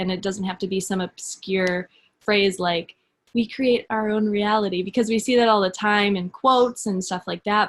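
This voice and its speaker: A woman's medium-pitched voice with fairly even intonation, a plain, everyday voice. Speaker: social media coach, fitness business coach. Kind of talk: webinar presentation.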